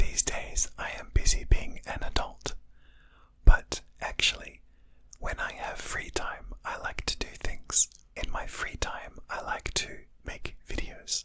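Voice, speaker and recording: Someone whispers at a fairly slow pace. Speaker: English teacher. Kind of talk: whispered English lesson for beginners. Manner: whispered, soft-spoken.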